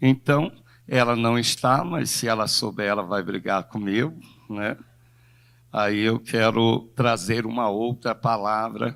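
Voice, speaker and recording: Speaking very slowly, a man uses a medium pitch with ordinary variation on a very clean recording with a silent background. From Brazil, São Gonçalo (Rio de Janeiro). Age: 60s. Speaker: pastor. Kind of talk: sermon. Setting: church.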